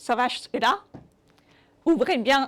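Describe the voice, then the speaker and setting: A woman's voice with ordinary pitch variation. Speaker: web developer and accessibility speaker. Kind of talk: conference talk with live demo. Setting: meet-up talk. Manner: hesitant, many fillers.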